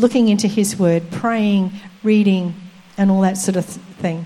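At a moderate pace, a normal speaking voice delivers fairly even intonation. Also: woman. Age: 60s. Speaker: preacher. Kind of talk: sermon.

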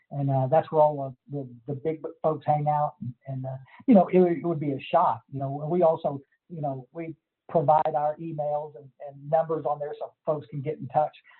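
In a Texas accent, a man speaks at a moderate pace and fairly high pitch, his intonation monotone and flat while his loudness swings widely. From Texas Hill Country. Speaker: recovery counselor and sponsor. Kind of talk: casual interview.

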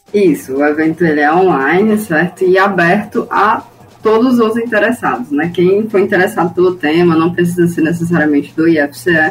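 A woman speaks at a moderate pace, fairly low in pitch with ordinary pitch variation. Her loudness stays very even over noticeable background noise. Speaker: public institution administrative assistant. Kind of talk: radio interview. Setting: studio.

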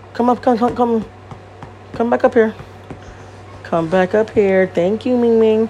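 Against noticeable background noise, a woman with an American accent speaks at a fairly high pitch, leaving long, frequent pauses. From Connecticut, US. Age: 30s. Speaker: podcast host. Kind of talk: casual solo monologue. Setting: home recording. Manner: animated, many fillers.

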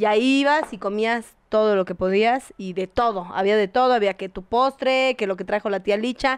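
A woman's ordinary speaking voice with ordinary pitch variation, dry and close with no echo. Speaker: podcast co-host. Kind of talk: casual chat.

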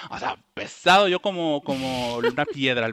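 This man's voice sits fairly high, with a bright, sharp tone and lively intonation, and the sound is dry and close with no echo. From Ecuador, then Bilbao from age 15. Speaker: curly hair enthusiast, social media user. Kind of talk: casual interview chat.

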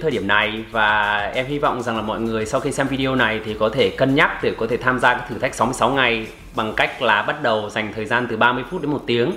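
Amid noticeable background noise and audible room echo, a man speaks at a fairly quick pace with hardly any pauses and ordinary pitch variation. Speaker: English-learning youtuber. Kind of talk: casual conversation.

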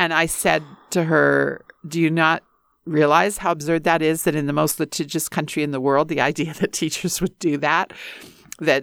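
A woman's very deep, low voice with vocal fry and a Western Canadian accent, moderate pace and fairly even intonation, in a dry, close sound with no echo on a very clean recording with a silent background. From rural northern Alberta, Canada. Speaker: university dean and English professor. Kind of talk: interview conversation.

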